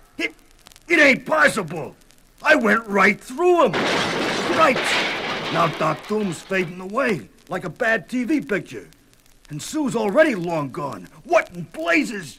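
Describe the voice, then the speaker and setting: A man puts on a gruff, high-pitched character voice in an American accent, raised and projected. He goes at a fairly slow pace with very wide pitch swings. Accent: streetwise American, says ain't. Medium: audio drama. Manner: gruff, slangy street talk.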